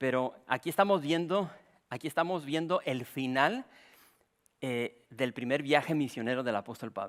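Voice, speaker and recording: In an ordinary speaking voice, a man talks at a moderate pace and a fairly high pitch. His pitch varies in an ordinary way, and the recording is very clean with a silent background. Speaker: pastor. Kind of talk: sermon.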